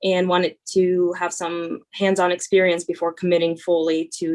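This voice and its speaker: Speaking at a moderate pace, a woman with a Russian accent uses a fairly low voice. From Northern California (born in Russia). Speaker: student veteran. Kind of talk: panel Q&A introduction. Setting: video call. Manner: hesitant, many fillers.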